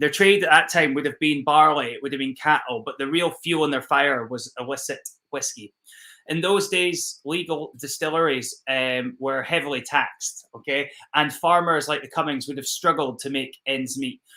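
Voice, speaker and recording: With a strong Scottish accent, a man talks at a moderate pace in a fairly high, bright and sharp voice with ordinary pitch variation, on a very clean recording with a silent background. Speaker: whisky ambassador. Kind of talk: live-streamed virtual whisky tasting. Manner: casual, with many fillers.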